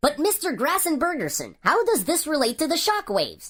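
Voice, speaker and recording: Using a put-on character voice, a woman speaks fairly quickly at an extremely high pitch, her pitch swinging very widely while her loudness stays very even. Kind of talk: news broadcast anchor. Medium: audio drama.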